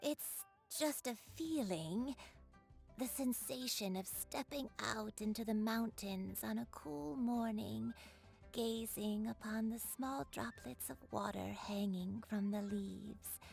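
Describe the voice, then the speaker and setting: Over clear background music, a woman at a medium pitch uses a put-on character voice at a fairly slow pace. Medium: video game. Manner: soft, poetic, peaceful.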